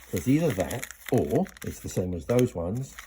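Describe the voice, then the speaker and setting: Mumbled speech at a moderate pace over noticeable background noise. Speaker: pickup maker and repairer. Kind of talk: working commentary. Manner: mumbling to himself.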